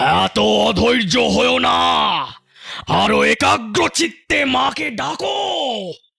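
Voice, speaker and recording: In a cartoonish character voice, a man speaks at a very slow pace with a solemn tone. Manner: commanding, solemn.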